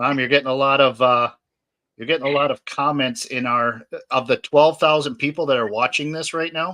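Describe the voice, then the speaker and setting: Fairly high in pitch, this man's voice has a bright, sharp tone. He talks at a fairly quick pace with fairly even intonation. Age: 50s. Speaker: podcast host. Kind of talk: casual chat. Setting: live stream.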